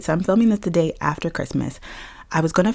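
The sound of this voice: A raspy, put-on character voice from a woman with ordinary pitch variation.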